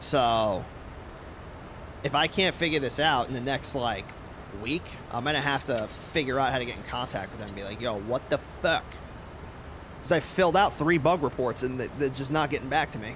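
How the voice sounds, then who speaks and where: A man speaks at a fairly quick pace and a medium pitch, with ordinary pitch variation. He takes long, frequent pauses. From New York. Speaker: flight sim streamer. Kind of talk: casual live-stream chat. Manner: casual, filler-heavy.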